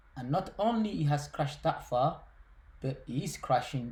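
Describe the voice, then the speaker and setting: A man with a Somali accent speaks at a fairly slow pace in a fairly high pitch. His tone is dark and mellow, somewhat breathy, with lively intonation. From Somalia. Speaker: finance YouTuber. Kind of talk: casual explainer video. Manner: halting, with many fillers and repetitions.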